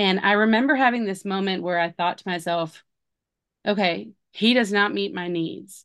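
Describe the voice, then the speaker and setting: A woman speaks in an ordinary speaking voice at medium pitch with ordinary pitch variation. Her pace is fairly slow, and the background is quiet. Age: 40s. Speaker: homeschooling mother. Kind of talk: casual chat.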